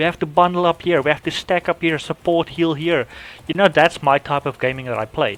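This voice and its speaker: A man with a non-native accent talks at a fairly quick pace and ordinary pitch variation, in a very clean recording with a silent background and a dry, close sound with no echo. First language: not English. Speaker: gaming youtuber. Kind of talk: casual unscripted monologue. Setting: home recording app. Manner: halting, many restarts and fillers.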